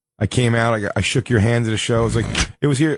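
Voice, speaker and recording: Speaking at a fairly quick pace, a man with a Philadelphia accent has a medium pitch and ordinary pitch variation. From US Northeast, Philadelphia. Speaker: comedian. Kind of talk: casual chat.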